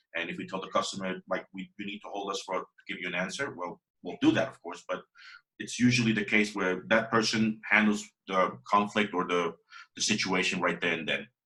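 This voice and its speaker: Talking at a fairly quick pace with a Spanish accent, a man has a bright, sharp tone and big swings in loudness. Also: ordinary pitch variation. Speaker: WordPress developer. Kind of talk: interview. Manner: halting.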